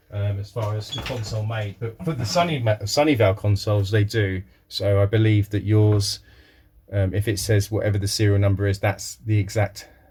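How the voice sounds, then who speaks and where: The voice is somewhat breathy, with fairly even intonation at a fairly quick pace. The recording is very clean, with a silent background. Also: man, fairly low pitch for a man. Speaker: retro console repairer. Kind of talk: tutorial. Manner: casual, hesitant with fillers.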